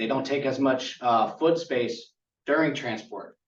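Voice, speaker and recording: This man's voice sits at a medium pitch, with audible room echo around it. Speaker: conference presenter on tiny house building. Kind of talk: conference presentation.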